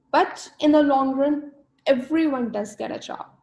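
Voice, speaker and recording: A woman's somewhat breathy voice. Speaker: career mentor. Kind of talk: webinar seminar. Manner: fast.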